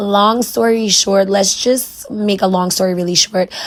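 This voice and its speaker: A woman speaks at a moderate pace with an American accent. There is noticeable background noise. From New York City, the Bronx. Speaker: wig stylist and beauty vlogger. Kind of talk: tutorial with story time. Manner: casual, chatty.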